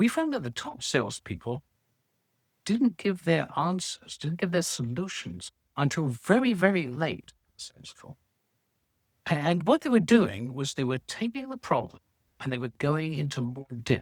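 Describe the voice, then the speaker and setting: A man with a British accent talks at a moderate pace, his pitch swinging very widely and his loudness shifting a lot. The recording is very clean, dry and close, with a silent background and no echo. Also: fairly high pitch for a man. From Britain. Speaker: sales researcher and author. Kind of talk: interview.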